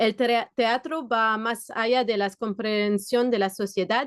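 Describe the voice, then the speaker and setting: Speaking with a non-native accent, a woman talks fairly slowly at a fairly high pitch, the sound dry and close with no echo over a quiet background. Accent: foreign accent in Spanish. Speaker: theatre worker. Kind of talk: conference presentation. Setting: video call.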